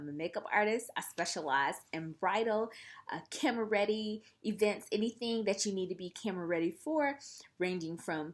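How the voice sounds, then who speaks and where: In a very clean recording with a silent background, a woman talks with a Southern US accent. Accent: Southern US (Georgia). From US South, Columbus, Georgia. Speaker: makeup artist, vlogger. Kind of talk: casual chat to camera.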